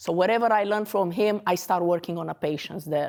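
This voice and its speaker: In a very clean recording with a silent background, a woman with a Romanian accent talks at a fairly low pitch with fairly even intonation. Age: 40s. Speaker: dentist. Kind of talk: lecture. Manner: halting.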